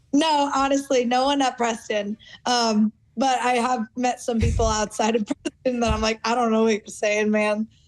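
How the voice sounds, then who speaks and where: A woman's normal speaking voice, fairly high in pitch, with fairly even intonation, very even loudness, a moderate pace, and a dry, close sound with no echo. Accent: American. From United States. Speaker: footballer. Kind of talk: interview.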